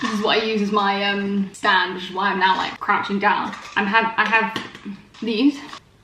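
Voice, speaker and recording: A woman with a British accent speaks at a moderate pace in a medium pitch, monotone and flat. Noticeable background noise and audible room echo surround her. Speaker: vegan lifestyle vlogger. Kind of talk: casual vlog. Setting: at home, in bed.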